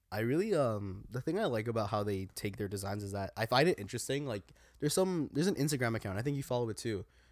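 A man talks at a very fast pace with lively intonation and hardly any pauses. The recording is very clean, with a silent background. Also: medium pitch for a man. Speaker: podcast co-host. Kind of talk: casual banter chat. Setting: basement recording with video.

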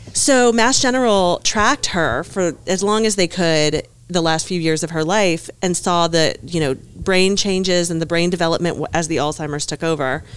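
In a Southern US accent, a woman with a fairly low pitch speaks at a moderate pace with lively intonation. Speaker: business owner, local news publisher. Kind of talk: casual chat.

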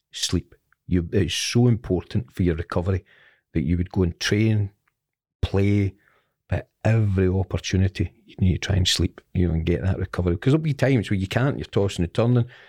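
A man with a Scottish accent, a very deep, low pitch and a dark, mellow tone, at a fairly quick pace with ordinary pitch variation, in a very clean recording with a silent background and a dry, close sound with no echo. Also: big swings in loudness. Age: 50s. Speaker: former football player and manager. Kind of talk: interview.

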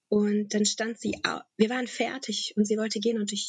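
The voice is somewhat breathy, with a dry, close sound and no echo. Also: woman. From Germany, Bonn area (born in Tajikistan, moved at 7). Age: 30s. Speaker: businesswoman, course leader. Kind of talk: interview. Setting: virtual studio, online recording. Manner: hesitant, many fillers.

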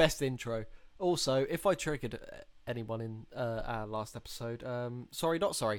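A man with a plain, everyday voice at a medium pitch, using ordinary pitch variation at a moderate pace. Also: very clean recording, silent background. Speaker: podcast host. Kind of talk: casual chat.

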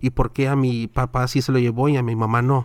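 Fairly quick pace, fairly even intonation and medium pitch from a man with a plain, everyday voice. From Southern California. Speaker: podcaster and church minister. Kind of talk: casual chat.

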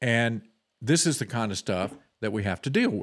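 A man talks with lively intonation. The recording is very clean, with a silent background. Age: 60s. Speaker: political talk show host. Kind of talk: political commentary. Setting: studio, streamed live.

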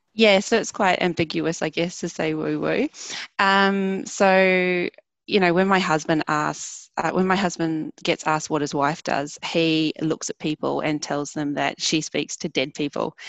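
Speaking in a New Zealand accent, a woman uses a fairly low pitch, fairly even intonation and a fairly slow pace. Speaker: wellbeing practitioner. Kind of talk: interview. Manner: hesitant fillers.

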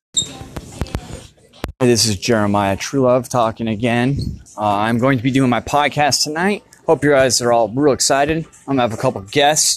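Noticeable background noise behind a man's medium-pitched voice at a moderate pace. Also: ordinary pitch variation. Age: 30s. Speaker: podcaster. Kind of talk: personal monologue. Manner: halting.

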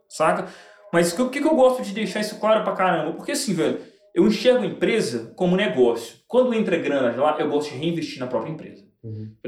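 A man's high-pitched voice at a fairly quick pace, pitch swinging very widely, with audible room echo. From Belo Horizonte, Brazil. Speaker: sports betting tipster and entrepreneur. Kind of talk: casual interview chat. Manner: slangy, street-style casual speech.

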